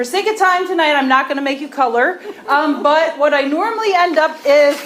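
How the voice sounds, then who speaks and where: Someone speaks loudly at a moderate pace with ordinary pitch variation, over noticeable background noise and audible room echo. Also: woman. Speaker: agriculture professor and farmer. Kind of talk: presentation to county commissioners. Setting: county commissioners meeting, standing at a microphone.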